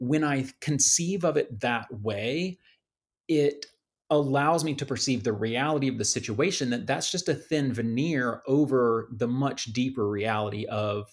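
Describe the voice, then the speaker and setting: A man with an American accent and ordinary pitch variation, on a very clean recording with a silent background. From US South, Atlanta area. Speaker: coach and consultant. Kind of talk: casual interview chat.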